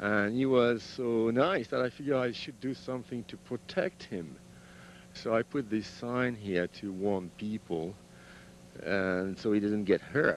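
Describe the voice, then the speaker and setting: A man with a French accent speaks at a medium pitch, with ordinary pitch variation. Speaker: sculptor. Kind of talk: guided tour of own artworks. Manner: halting.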